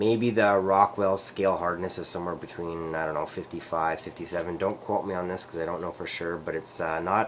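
A man speaks at a moderate pace with a very deep, low pitch. Light background noise sits behind him. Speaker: knife reviewer. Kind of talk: casual product review. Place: kitchen. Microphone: webcam.

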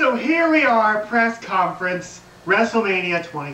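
A man's raised, projected voice at a very slow pace, with audible room echo and light background noise. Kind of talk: wrestling promo speech. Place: home room.

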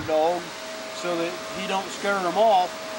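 A man talks while noticeable background noise is present. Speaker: dog trainer. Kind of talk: tutorial. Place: garden. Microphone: camera far.

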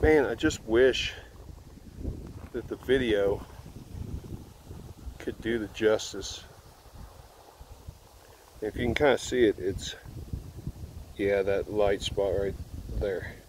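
A man speaks very slowly, leaving long, frequent pauses. The sound is dry with no echo, over light background noise. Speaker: motorbike rider vlogger. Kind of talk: casual vlog chat. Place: open country. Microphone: phone near.

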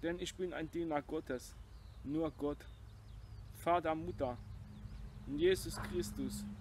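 A man at a very slow pace, dry sound with no echo, light background noise. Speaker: video blogger urging viewers to share a sermon. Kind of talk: personal appeal introducing a sermon, passionate religious address. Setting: self-filmed video. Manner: earnest, emphatic, fervent; blunt, defiant. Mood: earnest, solemn. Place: garden. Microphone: phone near.

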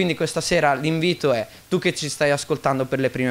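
Ordinary pitch variation marks this man's voice as he talks at a fairly quick pace. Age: 20s. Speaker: church member giving testimony. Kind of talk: testimony. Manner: halting. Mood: earnest, calm. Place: church. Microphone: studio mic.

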